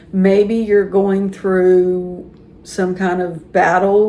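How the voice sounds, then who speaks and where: A woman with an American accent speaks in a medium pitch, with audible room echo and noticeable background noise. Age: 60s. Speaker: YouTuber talking about life and aging. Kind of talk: casual monologue to camera. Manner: conversational, with some repetition and false starts.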